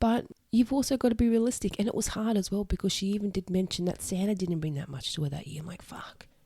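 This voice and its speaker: Speaking very fast with an Australian accent, a woman sounds somewhat breathy and dark, mellow in tone, in a dry, close sound with no echo. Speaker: podcast host, single mother. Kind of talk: solo podcast monologue. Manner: casual, conversational.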